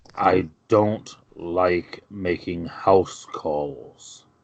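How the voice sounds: A man puts on a gruff character voice, very deep and low, with fairly even intonation.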